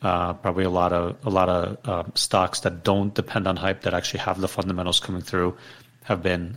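Monotone, flat delivery at a moderate pace. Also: man. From Ukraine. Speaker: fintech startup founder. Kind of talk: interview.

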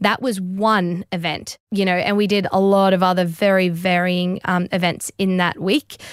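Heard dry and close with no echo, a woman with an Australian accent speaks at a moderate pace and medium pitch, with fairly even intonation and very even loudness. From Australia, Brisbane. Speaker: professional CrossFit athlete. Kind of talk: interview.

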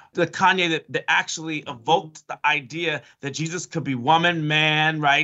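At a moderate pace, a man with an American accent speaks at a fairly high pitch in a monotone, flat way. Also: hardly any pauses. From Chicago. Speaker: professor. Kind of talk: interview.

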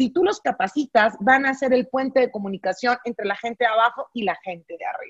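A woman with a northern Mexican accent, lively intonation and a moderate pace, in a dry, close sound with no echo. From northern Mexico, Monterrey. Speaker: business coach. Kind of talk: casual interview.

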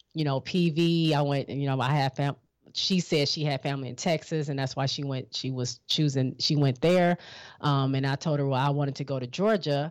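Moderate pace on a very clean recording with a silent background. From Michigan. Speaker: HBCU alum. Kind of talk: casual interview.

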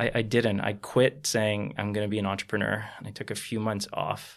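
A man speaks with a Canadian accent. Vocal fry runs through his voice. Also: very clean recording, silent background. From Toronto, Canada. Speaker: company founder. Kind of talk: interview.

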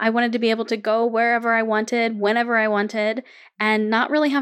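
The voice is monotone with flat intonation, captured in a very clean recording with a silent background. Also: woman. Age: 30s. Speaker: podcast host and podcast launch consultant. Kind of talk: solo podcast monologue.

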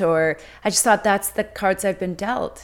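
The recording is very clean with a silent background, featuring a woman in a normal speaking voice. Her pitch is medium, with ordinary pitch variation. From Mexico City, then Vancouver, Canada from age ten. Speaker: life coach. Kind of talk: interview, personal testimony.

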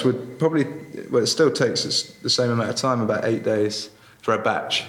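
At a moderate pace and with ordinary pitch variation, the voice comes through noticeable background noise. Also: man. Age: young. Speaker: salt producer and entrepreneur. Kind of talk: interview. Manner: halting.

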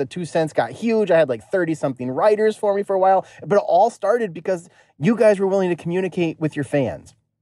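Delivered at a very fast pace, the voice has a dark, mellow tone and ordinary pitch variation. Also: man. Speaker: caller. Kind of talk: casual chat. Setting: phone call.

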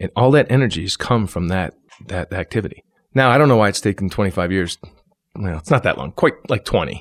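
In an upstate New York accent, a man talks at a very fast pace and a fairly low pitch, with a dry, close sound and no echo. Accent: upstate New York American. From New York, Syracuse. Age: 40s. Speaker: actor. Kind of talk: casual interview.

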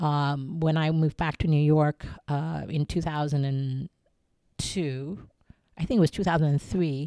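A woman speaks with a very deep, low pitch and a dark, mellow tone. The recording is very clean with a silent background and a dry, close sound with no echo. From US Midwest, Ohio. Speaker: arts nonprofit executive director. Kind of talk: interview. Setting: outdoor sculpture garden. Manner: animated.

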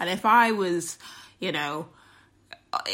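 A woman's voice with a bright, sharp tone. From Britain. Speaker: travel blogger. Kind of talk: recorded contribution.

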